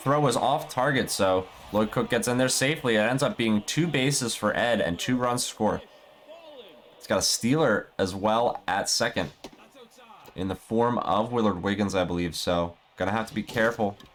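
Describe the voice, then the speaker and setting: Over noticeable background noise, a man talks at medium pitch with ordinary pitch variation. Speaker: esports play-by-play commentator. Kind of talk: live commentary. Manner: fast.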